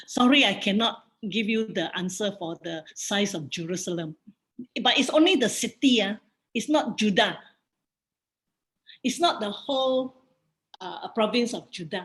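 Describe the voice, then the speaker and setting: Speaking with a Singaporean accent, a woman uses a fairly high pitch and lively intonation, with big swings in loudness. Her pace is fairly slow, with long, frequent pauses. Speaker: bible study teacher. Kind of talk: bible study lecture with Q&A.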